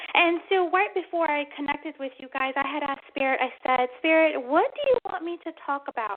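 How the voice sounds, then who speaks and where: A woman speaks in an animated tone at a high pitch, with ordinary pitch variation. Her pace is fairly quick, with hardly any pauses. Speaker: psychic medium radio host. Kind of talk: radio show monologue. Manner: fast.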